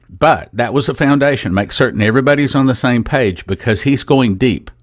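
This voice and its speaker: A man at a moderate pace, with lively intonation. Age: 60s. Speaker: radio host. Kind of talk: radio show presenting a product. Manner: enthusiastic.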